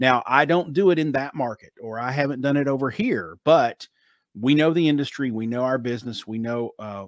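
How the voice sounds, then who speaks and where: A man speaks with a Southern US accent at a moderate pace and medium pitch, with ordinary pitch variation. The sound is dry and close with no echo, in a very clean recording over a silent background. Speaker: author, marketing expert. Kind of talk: interview answer. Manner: casual, confident.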